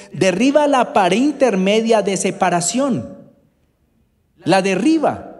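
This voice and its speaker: A man speaks at a high pitch with very wide pitch swings. His pace is very slow, and room echo is audible. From Colombia, Bogotá. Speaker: preacher. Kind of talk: sermon.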